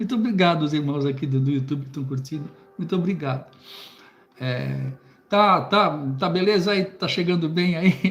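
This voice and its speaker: A man talks at a moderate pace in a fairly high pitch, with ordinary pitch variation. Noticeable background noise sits behind him. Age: 60s. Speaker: preacher and Bible teacher. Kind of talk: live stream book commentary. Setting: live stream on YouTube. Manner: halting, many repetitions and fillers.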